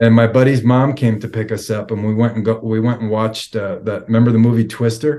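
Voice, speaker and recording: At a very fast pace, a man speaks in a flat, monotone way. His medium-pitched voice has a dark, mellow tone. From New York, Long Island. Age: 40s. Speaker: recovering addict, IT worker. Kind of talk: testimony. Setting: video call.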